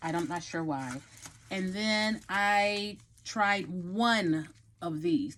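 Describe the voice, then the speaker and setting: Here a woman speaks with a Texan accent. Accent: Texan Southern US. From Texas. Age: 50s. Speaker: hair and lifestyle vlogger. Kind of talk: hair tutorial. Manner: casual, chatty.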